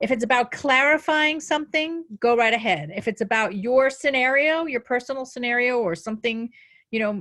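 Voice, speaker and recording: A woman talks at a moderate pace, and her intonation is lively. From New Jersey. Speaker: life coach. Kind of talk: webinar presentation.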